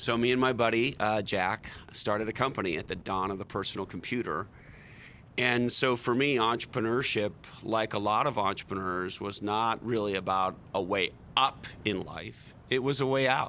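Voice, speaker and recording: This man has a fairly low pitch with ordinary variation. His tone is bright and sharp. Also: moderate pace. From Quebec, Montreal. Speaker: tech marketing executive and author. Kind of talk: podcast interview.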